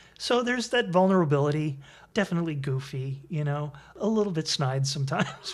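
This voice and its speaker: A man with an American accent, fairly high-pitched, lively in intonation and fairly quick, over noticeable background noise. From Connecticut, US. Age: 60s. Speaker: improv comedian. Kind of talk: interview.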